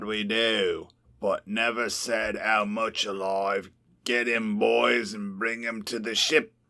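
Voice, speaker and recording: A man speaks in a put-on character voice. His pitch sits in the middle range, and his pace is fairly slow. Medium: read story. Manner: swaggering, gruff.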